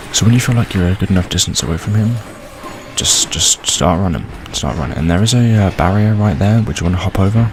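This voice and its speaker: Soft-spoken and very fast, a man talks at a fairly low pitch with ordinary pitch variation while music plays in the background. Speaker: gaming video creator. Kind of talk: tutorial. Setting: home recording late at night. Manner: quiet, soft-spoken; hesitant, many fillers.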